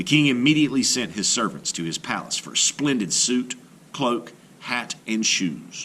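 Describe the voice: What fills the recording is plain reading aloud.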